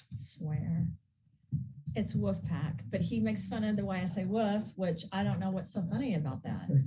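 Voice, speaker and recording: Using very wide pitch swings around a fairly low pitch, a woman with an American accent speaks in a dark, mellow tone with vocal fry and very even loudness. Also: moderate pace. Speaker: skincare business founder. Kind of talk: casual chat.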